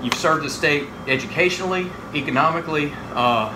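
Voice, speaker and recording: Against noticeable background noise, a man's intonation comes across as lively. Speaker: interviewer. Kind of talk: interview questions.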